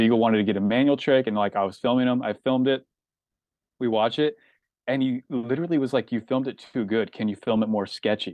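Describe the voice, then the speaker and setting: A man with an American accent talks at a very fast pace with fairly even intonation. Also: medium pitch for a man. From US Pacific Northwest, rural Washington State. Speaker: skate videographer. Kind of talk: casual chat.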